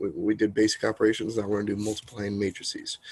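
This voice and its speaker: A soft-spoken man at a very fast pace, fairly low in pitch, with fairly even intonation. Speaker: math teacher. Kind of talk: lecture. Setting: home, sitting in a corner.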